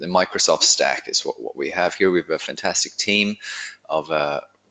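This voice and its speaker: This is a man speaking. He talks with an Irish accent. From Ireland. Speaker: consultant, author. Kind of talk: webinar conversation. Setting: online webinar.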